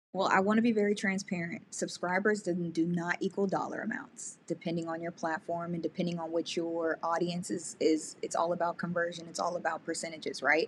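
A woman with an unremarkable speaking voice talks at a fairly quick pace, with hardly any pauses. Her pitch is fairly low and her intonation fairly even. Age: 30s. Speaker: YouTuber and podcast coach. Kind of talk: casual interview.

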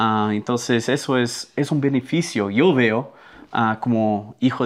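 The speech comes at a very slow pace. It carries a slight Brazilian accent. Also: man. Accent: Spanish with a Brazilian Portuguese touch. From Brazil (Amazon river mouth), American family. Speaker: missionary. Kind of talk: casual chat.

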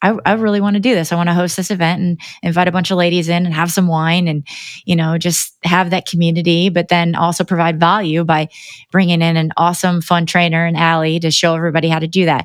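With a Midwestern American accent, a woman talks at a very fast pace and fairly low pitch. Her intonation is monotone and flat, and her loudness stays very even. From US Midwest (Northeast Indiana). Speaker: realtor. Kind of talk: casual interview.

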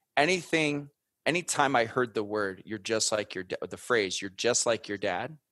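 A man with an American accent speaks at a medium pitch with lively intonation, in an ordinary speaking voice. The recording is very clean and dry, close with no echo, over a silent background. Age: 30s. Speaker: former Marine turned podcast media founder. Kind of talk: interview conversation.

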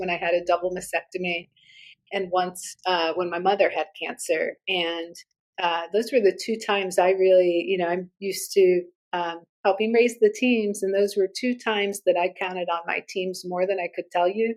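At a moderate pace, a woman talks at medium pitch with fairly even intonation in an unremarkable speaking voice. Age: 40s. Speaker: agency CEO. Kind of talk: panel discussion. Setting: office, remote call.

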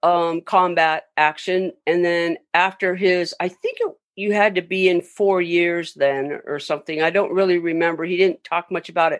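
A woman speaks at a moderate pace and medium pitch, with hardly any pauses and fairly even intonation. The sound is dry and close, with no echo. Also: quiet background. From Southern California (Long Beach). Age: 60s. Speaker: makeup effects artist. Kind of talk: interview, casual storytelling. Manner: hesitant, many fillers.

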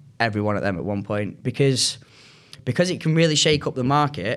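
A man talks with a northern English accent. He keeps a fairly quick pace with ordinary pitch variation. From Manchester, northern England. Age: 20s. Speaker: recruiter. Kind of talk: casual chat.

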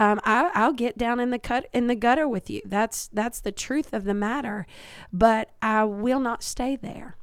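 In a very clean recording with a silent background, a woman with a Kentucky accent talks at a fairly high pitch and fairly slow pace with ordinary pitch variation. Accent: Southern US (Kentucky). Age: 40s. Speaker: pastor. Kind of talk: interview conversation about faith.

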